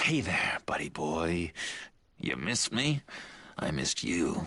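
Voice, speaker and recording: A man's put-on character voice, very deep and low, raspy and playful, at a fairly slow pace. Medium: video game. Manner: playful, giggly, manic.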